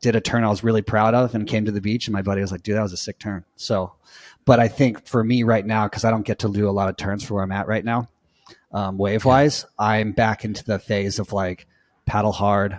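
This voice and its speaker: A man's fairly low voice with a Southern California accent, fairly even intonation and a fairly quick pace, dry and close with no echo, on a very clean recording with a silent background. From US West Coast, Orange County, California. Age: 40s. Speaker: surf coach. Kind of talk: interview. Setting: podcast.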